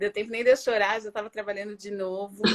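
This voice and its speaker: In a Paulista accent, a woman with a fairly high pitch speaks in a dry, close sound with no echo. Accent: Paulista Brazilian Portuguese. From Brazil, São Paulo. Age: 40s. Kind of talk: interview. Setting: video call from home bedroom.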